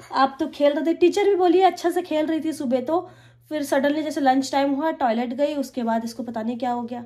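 Against a quiet background, a woman with a high yet dark, mellow voice speaks at a moderate pace with ordinary pitch variation and hardly any pauses. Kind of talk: casual vlog chat. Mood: worried, soothing. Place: kitchen. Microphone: phone near.

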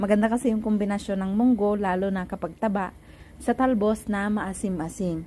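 The tone is dark and mellow. The pace is fairly quick. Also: woman. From Philippines, Ilocos region. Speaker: cooking vlogger. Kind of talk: cooking tutorial voiceover.

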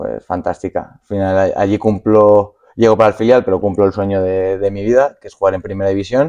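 Over a quiet background, a man rushes along at a fairly quick pace with hardly any pauses, his fairly low, dark, mellow voice keeping fairly even intonation amid big swings in loudness. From Spain, Madrid (Fuenlabrada). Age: 20s. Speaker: professional footballer. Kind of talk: casual interview. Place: studio.

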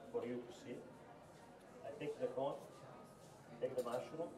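Moderate-paced speech from a man, noticeable noise in the background. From Italy. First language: Italian. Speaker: chef. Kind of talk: cooking demonstration. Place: shop.

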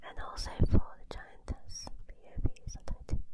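A woman whispers in a soft-spoken way. Loud background noise fills the recording. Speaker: ASMR creator. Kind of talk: soft-spoken ASMR chat. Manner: soft close-mic whisper. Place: home room. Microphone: handheld.

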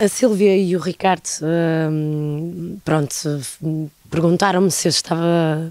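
A woman's fairly low, dark and mellow voice with ordinary pitch variation, dry sound with no echo, and a quiet background. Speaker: actress. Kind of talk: interview answer. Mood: friendly, smiling. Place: stage. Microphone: handheld.

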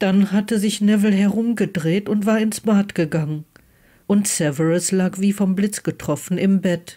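A woman of medium pitch talks at a very slow pace, with ordinary pitch variation. Her voice is somewhat breathy, with a dark, mellow tone.

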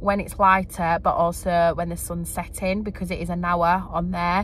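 A woman at a moderate pace, in a dry sound with no echo and light background noise. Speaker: vlogger mum. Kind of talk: casual vlog chat. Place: car. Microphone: phone near.

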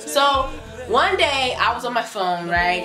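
Clear music plays in the background as a woman speaks in a high pitch. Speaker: vlogger. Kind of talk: casual vlog chat. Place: home room. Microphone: camera far.

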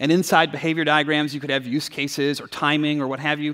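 There is a man talking against a quiet background. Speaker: conference speaker. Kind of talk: keynote talk. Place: stage.

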